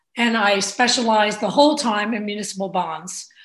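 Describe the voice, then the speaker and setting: A woman talks at a fairly slow pace with a New Jersey accent and a fairly high pitch. Room echo is audible. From New Jersey, Bayonne (Hudson County). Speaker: state legislator. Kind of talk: interview.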